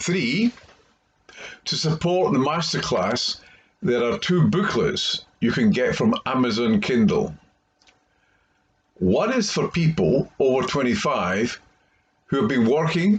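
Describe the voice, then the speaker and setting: A man with a Scottish accent speaks very slowly, with long, frequent pauses and vocal fry. His fairly high pitch swings very widely. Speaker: career coach. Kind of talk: tutorial.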